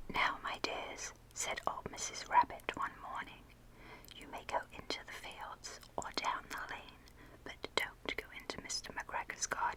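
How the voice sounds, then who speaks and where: A woman whispering in a gentle tone, with big swings in loudness and noticeable background noise. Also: fairly slow pace. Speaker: ASMR content creator. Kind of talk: whispered ASMR storybook reading for sleep. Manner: whispered, soft, gentle.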